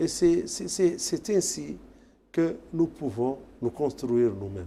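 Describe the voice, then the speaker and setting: Very slow and with very wide pitch swings, a man speaks in a fairly high voice with a dark, mellow tone. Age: 60s. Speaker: tourism federation official. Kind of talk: TV interview. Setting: TV studio.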